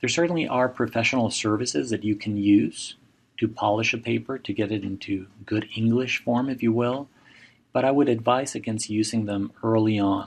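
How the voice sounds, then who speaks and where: A man in a Spanish accent speaks at a medium pitch with fairly even intonation. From Mexico. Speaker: professor. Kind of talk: lecture.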